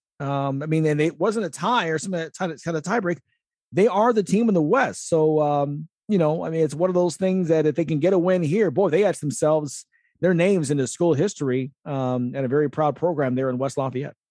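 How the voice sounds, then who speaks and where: Speaking at a fairly quick pace, a man uses a normal speaking voice with a fairly high pitch and ordinary pitch variation. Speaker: radio host. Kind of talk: sports radio talk.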